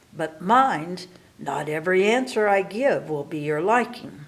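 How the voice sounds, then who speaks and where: A put-on character voice delivered at a moderate pace. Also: woman, medium pitch for a woman. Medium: read story. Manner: imperious, threatening.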